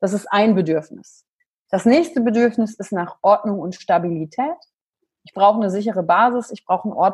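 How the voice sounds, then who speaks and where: A woman talks at a fairly quick pace in a fairly high, somewhat breathy voice with ordinary pitch variation. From western Germany, near Wuppertal. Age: 30s. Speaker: emotional intelligence coach. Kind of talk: podcast interview.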